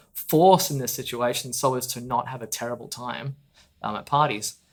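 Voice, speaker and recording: A man talks with an American accent at a fairly quick pace. His voice is somewhat breathy. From Australia. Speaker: psychologist. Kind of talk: educational talk. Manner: casual, conversational.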